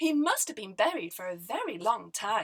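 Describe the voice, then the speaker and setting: Using a put-on character voice, a woman speaks at a moderate pace with a fairly high pitch. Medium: read story. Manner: gentle, curious.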